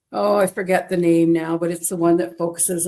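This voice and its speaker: A woman with a Canadian accent and a dark, mellow tone. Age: 60s. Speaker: interviewee sharing weight-loss story. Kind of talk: interview testimony.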